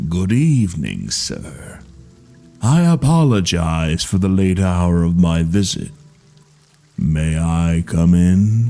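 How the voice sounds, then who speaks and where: A man does a put-on character voice, very deep and low in pitch and raspy, with lively intonation at a very slow pace. Faint music plays in the background. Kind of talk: formal, polite.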